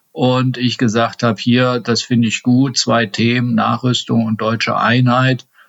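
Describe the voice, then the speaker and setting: A man at medium pitch, fairly slow and with hardly any pauses, very even in loudness, in a monotone, flat delivery. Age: 50s. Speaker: state politician. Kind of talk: interview.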